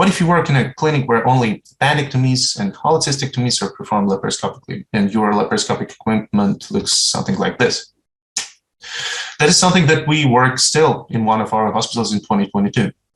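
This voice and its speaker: Very fast speech in a Ukrainian accent, with lively intonation. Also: man, medium pitch for a man. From Ukraine (Uzhhorod). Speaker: surgeon. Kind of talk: conference talk. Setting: online presentation. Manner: formal.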